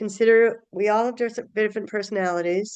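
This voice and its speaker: Fairly quick speech with ordinary pitch variation comes in an ordinary speaking voice. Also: woman. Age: 60s. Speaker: healthcare change-management presenter. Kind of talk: webinar lecture. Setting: online webinar.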